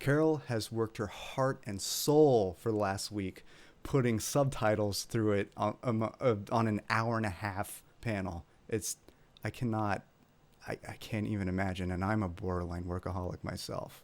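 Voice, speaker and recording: Here a man speaks with a Californian accent. His pitch is fairly low, with ordinary variation. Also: moderate pace. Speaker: ASMR creator, convention organizer. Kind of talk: casual panel chat.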